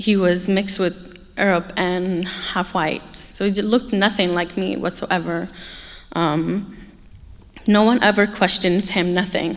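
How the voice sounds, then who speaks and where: A woman with an American accent speaks in a monotone, with flat intonation. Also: medium pitch for a woman, fairly slow pace. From Egypt, raised in California from age 8. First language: Arabic. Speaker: human trafficking survivor and speaker. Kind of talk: personal testimony talk. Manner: halting, many filler ums.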